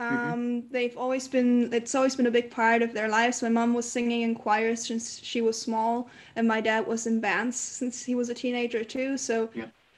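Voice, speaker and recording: A woman speaks at a moderate pace in a high-pitched voice. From Canary Islands, Spain. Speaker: singer-songwriter. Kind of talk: casual interview. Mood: relaxed, friendly. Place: home room. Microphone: video call.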